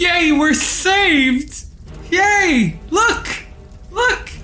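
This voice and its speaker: An extremely high-pitched put-on character voice plays over clear background noise. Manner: gleeful, excited.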